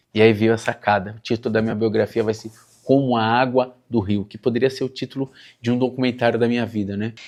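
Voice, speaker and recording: Against a quiet background, a man talks at a very fast pace. His intonation stays monotone and flat. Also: medium pitch for a man. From Suzano, São Paulo, Brazil. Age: 40s. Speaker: writer. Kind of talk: documentary interview.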